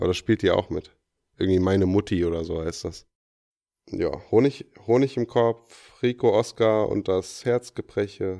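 A man with a dark, mellow tone speaks at a fairly low pitch and a moderate pace, with ordinary pitch variation and long, frequent pauses. The recording is very clean with a silent background and a dry, close sound with no echo. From Offenbach am Main, Hesse. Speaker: podcast co-host. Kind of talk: casual chat.

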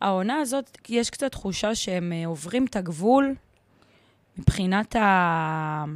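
A woman of medium pitch at a very slow pace, lively in intonation, on a very clean recording with a silent background. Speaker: podcast co-host. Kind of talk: casual chat.

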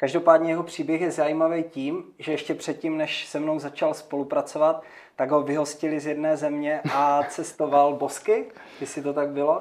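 The intonation is monotone and flat. The speech moves at a moderate pace. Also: man. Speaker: podcast host, business team leader. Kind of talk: interview. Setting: studio.

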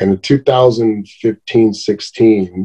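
A man with an American accent, dark and mellow in tone, in a dry, close sound with no echo. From Riverside, California. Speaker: comedian. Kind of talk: casual interview chat.

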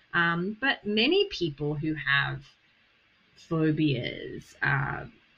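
A woman speaks with an Australian accent. Her pitch is very deep and low. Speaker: therapist and podcast host. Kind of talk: interview conversation.

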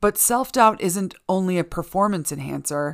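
In a very clean recording with a silent background, a woman with a normal speaking voice talks at a moderate pace, her pitch fairly low with ordinary pitch variation. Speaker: podcast host reading articles. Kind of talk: reading aloud. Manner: self-assured, playful.

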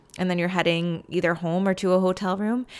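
A woman's warm, soothing tone at a fairly quick pace, on a very clean recording with a silent background. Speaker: podcast host and dance teacher. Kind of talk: guided pep talk with calming breathing prompts, warm and encouraging. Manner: warm, encouraging, soothing, paced and gently animated.

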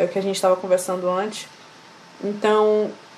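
Speech from a woman amid noticeable background noise. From Amazonas, Brazil. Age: 20s. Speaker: singer. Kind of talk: interview.

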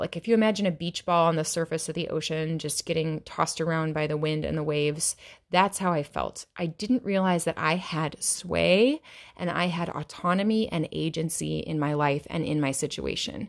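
An ordinary speaking voice, a woman with an American accent talks at a moderate pace and a fairly low pitch, with ordinary pitch variation, in a very clean recording with a silent background. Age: 30s. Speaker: yoga teacher and podcast host. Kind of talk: solo podcast monologue.

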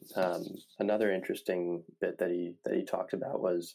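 At a moderate pace, a man talks with a Midwestern American accent. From Indiana (Indianapolis). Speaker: sports podcast host. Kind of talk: solo sports analysis podcast. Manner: hesitant, many fillers.

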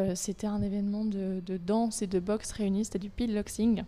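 This woman has a dark, mellow tone at a medium pitch. Her intonation is monotone and flat. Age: 20s. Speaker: personal trainer and association president. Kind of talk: casual interview.

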